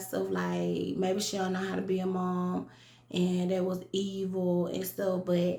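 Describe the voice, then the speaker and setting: A woman with a Southern US accent speaks at a fairly slow pace and a medium pitch. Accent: country Southern. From US South, rural south Georgia. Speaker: vlogger. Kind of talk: casual monologue vlog. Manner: animated.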